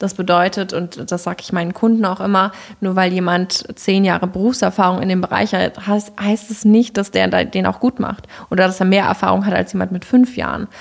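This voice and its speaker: Using a normal speaking voice, a woman talks at a fairly quick pace. Her pitch is medium and her intonation fairly even. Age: 20s. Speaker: headhunter. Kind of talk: casual interview.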